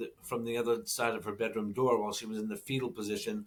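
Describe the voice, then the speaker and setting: Lively intonation marks this man's American accent, delivered at a medium pitch. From Boston, Massachusetts. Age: 60s. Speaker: podcast co-host. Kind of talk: casual chat. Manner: halting.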